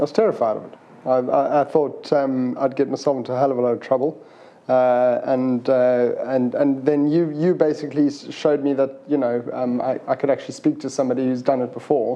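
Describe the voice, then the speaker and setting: A man with a South African accent, medium-pitched, talking at a fairly quick pace in a flat monotone over noticeable background noise. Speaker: plumber. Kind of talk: interview. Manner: halting.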